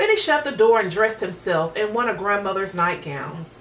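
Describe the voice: At a moderate pace, a woman talks at medium pitch with a fairly bright tone and lively intonation.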